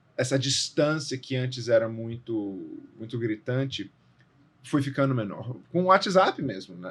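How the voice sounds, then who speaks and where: Somewhat breathy, a man with a medium pitch speaks at a fairly slow pace with lively intonation. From Brazil, Brasília. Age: 30s. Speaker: actor and theatre director. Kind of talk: podcast interview. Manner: casual, with false starts.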